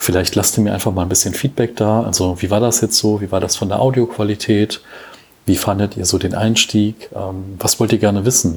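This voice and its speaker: Speaking at a fairly quick pace, a man with a fairly low pitch keeps his intonation fairly even over noticeable background noise. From Germany, Cologne. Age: 30s. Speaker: podcast host. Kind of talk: solo podcast monologue. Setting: home recording. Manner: hesitant, many fillers.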